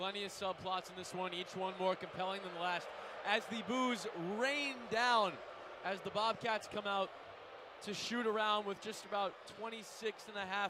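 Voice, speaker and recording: Over noticeable background noise, a man with a high pitch uses a raised, projected voice, speaking at a moderate pace with ordinary pitch variation. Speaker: student radio sports host. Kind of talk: pregame sports talk.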